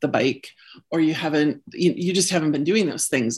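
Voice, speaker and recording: With an Upper Midwest accent, a woman speaks at a very deep, low pitch with ordinary pitch variation over a quiet background. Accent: Upper Midwest American. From US Midwest (Illinois, Wisconsin). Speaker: career coach. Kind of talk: interview.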